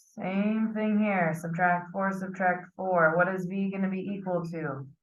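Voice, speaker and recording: Medium pitch from a woman, fairly even intonation, and audible room echo. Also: fairly slow pace. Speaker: math teacher. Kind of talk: lecture.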